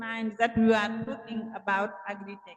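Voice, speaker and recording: A woman's somewhat breathy voice with a fairly high pitch. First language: French. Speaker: panel moderator, gender specialist. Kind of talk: panel discussion moderation. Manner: halting.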